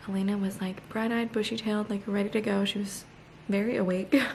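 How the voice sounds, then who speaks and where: Quiet, very fast speech in a monotone, flat intonation comes through noticeable background noise. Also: woman. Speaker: lifestyle vlogger. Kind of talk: casual vlog talk. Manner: speaking quietly.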